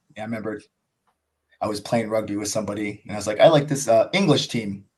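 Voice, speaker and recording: Fairly even intonation in an American accent against a quiet background. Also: man. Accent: American accent noticed by others. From United States. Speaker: cricket YouTuber. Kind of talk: podcast interview. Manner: casual, filler-heavy.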